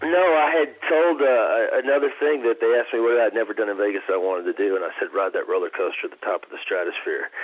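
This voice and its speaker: With hardly any pauses, a man in a Texan accent talks at a very fast pace over noticeable background noise. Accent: Texan American. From Texas. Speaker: actor. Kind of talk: interview answer. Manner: calm.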